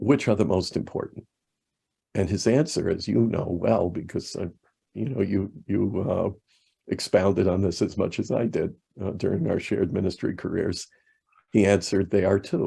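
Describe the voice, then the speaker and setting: A man with a dark, mellow tone and some vocal fry speaks at a moderate pace, with ordinary pitch variation and long, frequent pauses. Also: fairly low pitch for a man. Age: 60s. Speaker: evangelical minister. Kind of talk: podcast interview.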